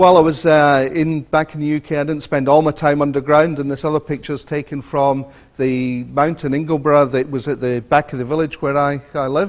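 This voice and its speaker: Speaking at a fairly quick pace with hardly any pauses, a man uses a fairly high pitch and monotone, flat intonation. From Scotland, Edinburgh. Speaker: e-learning academic, conference speaker. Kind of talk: conference keynote talk. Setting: stage with audience. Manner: hesitant, many fillers.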